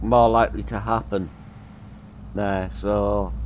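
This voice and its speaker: A man talks at a fairly slow pace, with audible room echo around his voice. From North Yorkshire, near Whitby, England. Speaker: gaming streamer. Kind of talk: live gameplay stream commentary. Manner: casual, rambling.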